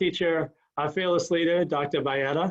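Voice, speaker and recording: An ordinary speaking voice from a man, delivered at a moderate pace with fairly even intonation. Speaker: school principal. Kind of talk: presentation to parents.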